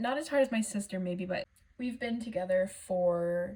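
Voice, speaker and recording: A woman speaks at medium pitch in a dark, mellow tone that is somewhat breathy. Her pitch varies in an ordinary way. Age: 20s. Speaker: budgeting vlogger. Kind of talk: casual vlog talk.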